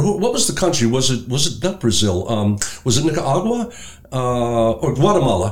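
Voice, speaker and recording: At a moderate pace, a man with an American accent swings very widely in pitch against noticeable background noise. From Brooklyn, New York. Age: 60s. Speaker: pastor. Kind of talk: casual chat.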